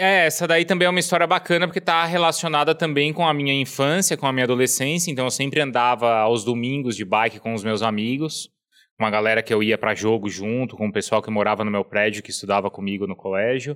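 At a very fast pace with hardly any pauses, a man of medium pitch speaks with lively intonation. The recording is very clean, with a silent background. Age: 30s. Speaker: sports TV anchor and journalist. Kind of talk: casual chat.

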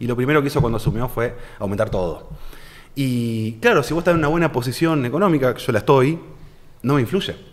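With a Rioplatense accent, a man talks at a very fast pace. His intonation is lively. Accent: Argentine Spanish (rioplatense, voseo). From Argentina, Santa Fe city. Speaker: financial advisor. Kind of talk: casual interview.

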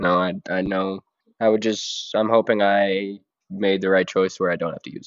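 At a moderate pace, a man with a fairly low pitch speaks in a monotone, flat intonation, while his loudness swings widely. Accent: American. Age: 20s. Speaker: guest, host's son. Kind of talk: casual chat.

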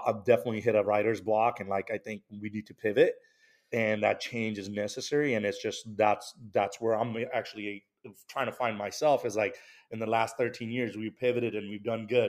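Fairly quick, monotone speech from a man with an American accent, flat in intonation with big swings in loudness, on a very clean recording with a silent background. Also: medium pitch for a man. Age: 30s. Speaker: liquor store owner. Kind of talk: casual chat.

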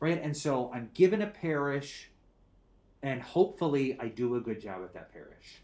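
A fairly high-pitched man's voice with an American accent, vocal fry and a fairly slow pace. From US Midwest, Minnesota. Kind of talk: casual chat.

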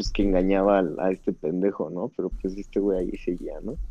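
A man using a normal speaking voice talks fairly low in pitch at a moderate speed. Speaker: podcast guest. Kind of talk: casual chat.

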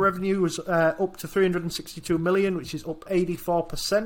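Man with a British accent, high in pitch, at a fairly slow pace with monotone, flat intonation. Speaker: investing podcast co-host. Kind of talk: casual chat.

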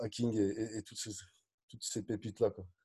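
Somewhat breathy, a man's voice has a dark, mellow tone and medium pitch, moving at a fairly quick pace. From France, Dijon (Burgundy). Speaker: business coach. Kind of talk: interview conversation. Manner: energetic, animated; direct, blunt.

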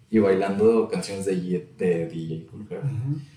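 A man talks at a very slow pace with lively intonation, and audible room echo fills the space. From Saltillo, northern Mexico. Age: 20s. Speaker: podcaster and rap enthusiast. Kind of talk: casual chat.

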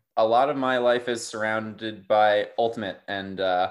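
A man with an American accent has an ordinary speaking voice, pitched fairly low with fairly even intonation. The background is quiet. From Durham, North Carolina. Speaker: ultimate frisbee player. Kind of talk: casual interview.

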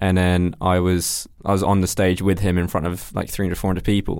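A man's very deep, low voice at a fairly quick pace, on a very clean recording with a silent background. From London. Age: 20s. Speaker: videographer and photographer. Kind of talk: casual interview chat.

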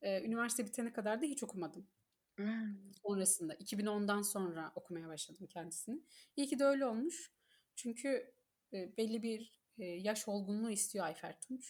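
A somewhat breathy woman's voice at a moderate pace, with lively intonation. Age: 30s. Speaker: book reader guest, HR manager. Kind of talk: casual chat.

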